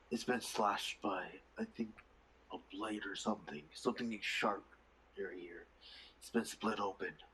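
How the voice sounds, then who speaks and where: A man's put-on character voice at medium pitch, at a moderate pace with long, frequent pauses. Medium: actual play. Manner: casual, conversational.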